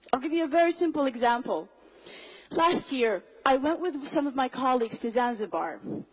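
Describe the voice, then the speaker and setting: A woman talks at a fairly quick pace with a high pitch, lively intonation and an animated tone. Noticeable background noise runs underneath. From Somali diaspora, raised outside Somalia. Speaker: public speaker. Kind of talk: motivational talk.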